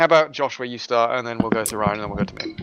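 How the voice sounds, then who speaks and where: A man's lively intonation carries at a very fast clip, with noticeable background noise around him. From Germany. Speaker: sim racing commentator. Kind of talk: live commentary.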